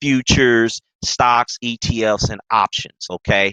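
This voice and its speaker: The voice carries a Mississippi accent and an animated, bright, sharp tone. The sound is dry and close, with no echo. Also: man. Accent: Southern (Mississippi). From US South, Mississippi. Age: 30s. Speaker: trader and investing coach. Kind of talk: webinar presentation. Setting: live stream webinar.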